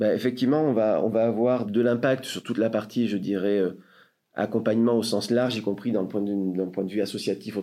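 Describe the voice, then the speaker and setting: A man speaks in a fairly low voice with a dark, mellow tone. His intonation stays fairly even at a moderate pace. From France, Marseille. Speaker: sales director of a tech company. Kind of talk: interview. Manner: hesitant, with fillers.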